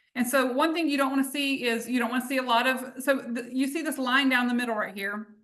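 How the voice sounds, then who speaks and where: A woman with a Southern US accent talks very fast with hardly any pauses, using high pitch and fairly even intonation against a quiet background. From US South, North Carolina. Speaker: essential oils business leader; presenter. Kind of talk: live webinar demonstration. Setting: livestream. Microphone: video call.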